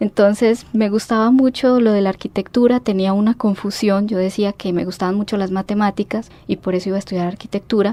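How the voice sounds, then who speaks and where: Speech runs at a fairly quick pace with hardly any pauses and fairly even intonation. The sound is dry and close, with no echo. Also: woman, medium pitch for a woman. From Mexico City, Mexico until 12, then Colombia (Pereira, Manizales). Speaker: historian, university alumna. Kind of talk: radio interview.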